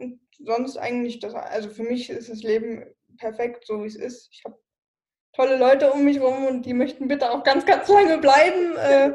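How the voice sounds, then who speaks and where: A woman at a moderate pace, with big swings in loudness and ordinary pitch variation. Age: 20s. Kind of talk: interview.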